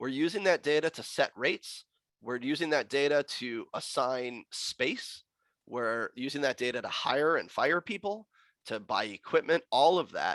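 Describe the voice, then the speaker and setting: A man's plain, everyday voice, fairly high in pitch with lively intonation at a moderate pace, in a dry, close sound with no echo and a very clean recording with a silent background. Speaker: logistics executive and guest speaker. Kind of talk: presentation to professional chapter.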